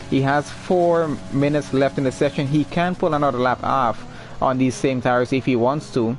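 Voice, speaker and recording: A man's fairly high voice with ordinary pitch variation, moderate pace and very even loudness, over background music. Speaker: esports race streamer and commentator. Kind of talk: live commentary. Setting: live stream. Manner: stumbles when excited.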